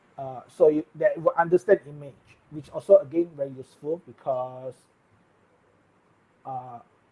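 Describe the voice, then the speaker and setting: A man speaks at a moderate pace in a fairly high, somewhat breathy voice with a dark, mellow tone, ordinary pitch variation and big swings in loudness. The sound is dry and close with no echo, and his pauses are long and frequent. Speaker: tech live streamer. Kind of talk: live stream tech news chat. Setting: live stream.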